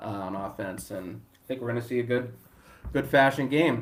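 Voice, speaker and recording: Medium-pitched male voice in a Boston accent, with audible room echo. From Boston area, US. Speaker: sports betting handicapper. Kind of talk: casual chat. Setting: live stream.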